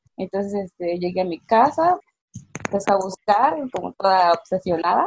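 The delivery is fairly slow and somewhat breathy, with ordinary pitch variation. The sound is dry and close, with no echo. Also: woman. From Mexico. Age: 20s. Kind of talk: casual chat.

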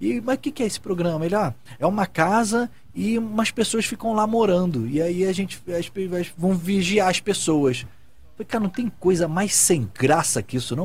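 The speech has lively intonation and a fairly quick pace, with music playing in the background. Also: man. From Brazil, Rio de Janeiro. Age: 30s. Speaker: TV director and talk show co-host. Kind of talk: casual chat. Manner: animated.

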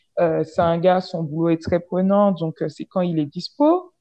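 A woman with a plain, everyday voice speaks at a fairly low pitch and a fairly slow pace. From French Caribbean. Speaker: podcast guest sharing dating stories. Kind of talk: casual storytelling chat.

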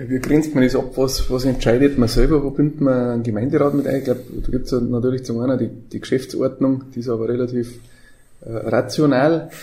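Speaking at a fairly quick pace, a man has a dark, mellow tone, a somewhat breathy quality and monotone, flat intonation. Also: medium pitch for a man. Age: 40s. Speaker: mayor. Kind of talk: casual chat.

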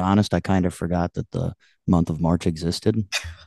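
With a Midwestern American accent, the voice sounds dry and close with no echo against a quiet background. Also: man. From US Midwest, northwest Ohio. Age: 20s. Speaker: country singer-songwriter. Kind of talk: casual interview chat.

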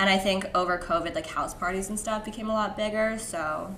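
At a fairly quick pace, a woman of medium pitch speaks with fairly even intonation against noticeable background noise. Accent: Californian. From US West Coast, San Francisco Bay Area. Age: 20s. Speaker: podcast guest. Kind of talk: casual chat.

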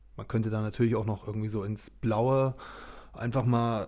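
Dark and mellow in tone, a man's medium-pitched voice moves at a moderate pace. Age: 30s. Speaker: business partner, marketing guest. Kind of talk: casual interview chat.

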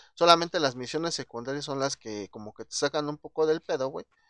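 At a fairly quick pace, a man speaks in a fairly high pitch against a quiet background. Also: dry, close sound with no echo. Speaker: podcast host. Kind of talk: casual chat.

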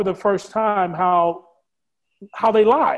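With an American accent, a man talks in a high pitch at a fairly slow pace. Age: 40s. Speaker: filmmaker. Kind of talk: interview.

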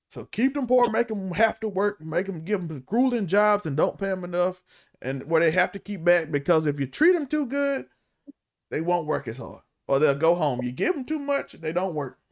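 A man speaks at a moderate pace with a high pitch. His voice makes very wide pitch swings. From Mississippi, US South. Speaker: podcast co-host. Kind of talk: casual chat.

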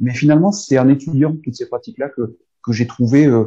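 Somewhat breathy, a man speaks at a medium pitch with ordinary pitch variation and a fairly quick pace. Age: 50s. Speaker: sophrologist. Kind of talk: interview. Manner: halting, with many repetitions.

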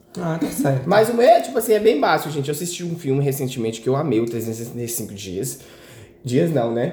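Through noticeable background noise and audible room echo, a man with a fairly high pitch speaks at a moderate pace with very wide pitch swings. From Minas Gerais, Brazil. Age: 20s. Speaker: podcast guest, friend of host. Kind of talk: casual chat.

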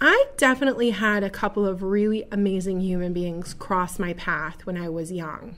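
Hardly pausing at all, a woman talks in a normal speaking voice with a medium pitch and ordinary pitch variation. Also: moderate pace, very clean recording, silent background. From Buffalo, New York. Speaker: podcast host and direct-sales entrepreneur. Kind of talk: solo monologue. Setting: studio.

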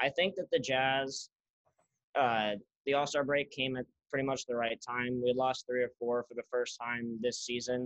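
In an ordinary speaking voice, a man talks at a moderate pace and medium pitch with fairly even intonation, and the sound is dry and close with no echo. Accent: American. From Utah, Salt Lake City. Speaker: student and social media sports page owner. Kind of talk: casual chat.

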